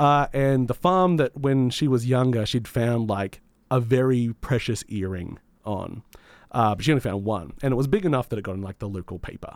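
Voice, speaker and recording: This man talks at a moderate pace with lively intonation, a medium pitch and an Australian accent. The recording is very clean, with a silent background. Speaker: community radio gaming show host. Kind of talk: casual chat and game reviews. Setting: radio studio.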